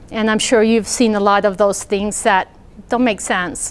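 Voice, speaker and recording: Her intonation fairly even, a woman talks at a fairly high pitch. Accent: Spanish. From Idaho. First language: Spanish. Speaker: entrepreneur, translation company founder. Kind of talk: talk to students.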